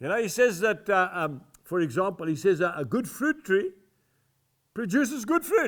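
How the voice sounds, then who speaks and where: A man at a moderate pace with very wide pitch swings, in a very clean recording with a silent background. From South Africa. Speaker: evangelist and farmer. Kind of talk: sermon / devotional teaching to camera.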